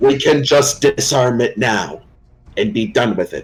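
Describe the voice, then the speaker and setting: Putting on a character voice, a man talks at a moderate pace with a fairly high pitch. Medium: actual play. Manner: firm, principled.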